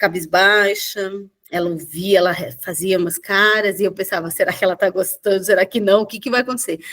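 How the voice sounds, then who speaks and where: Here a woman talks at a moderate pace in a medium pitch. Her pitch varies in an ordinary way. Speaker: mediator. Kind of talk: casual chat. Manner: loud; halting.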